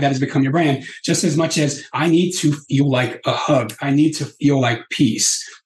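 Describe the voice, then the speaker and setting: A man talks at a moderate pace with hardly any pauses. His somewhat breathy voice sits at a fairly high pitch. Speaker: peace activist. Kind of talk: interview, storytelling. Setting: podcast interview. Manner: animated, calm and empathetic.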